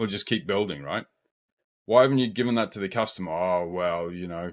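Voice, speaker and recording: Over a quiet background, a man with a very deep, low pitch speaks at a fairly quick pace. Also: ordinary pitch variation. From Australia, far north Queensland. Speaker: agile coach podcast host. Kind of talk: casual podcast conversation.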